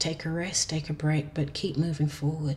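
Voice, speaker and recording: Somewhat breathy and very deep in pitch, a woman speaks at a moderate pace. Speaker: tarot reader. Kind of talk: tarot reading monologue. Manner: hesitant, with fillers; speaking softly.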